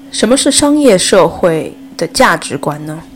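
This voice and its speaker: With noticeable background noise behind her, a woman talks at a fairly slow pace. Her pitch swings very widely. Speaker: podcast host. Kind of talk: solo commentary podcast.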